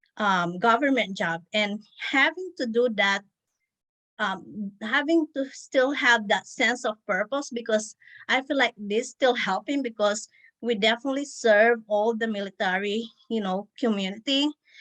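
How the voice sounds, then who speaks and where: A woman speaks at a fairly high pitch and a fairly slow pace, her tone bright and sharp. Her pitch varies in an ordinary way, and the sound is dry and close with no echo. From Philippines. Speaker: wedding planner. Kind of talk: interview. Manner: hesitant, many fillers.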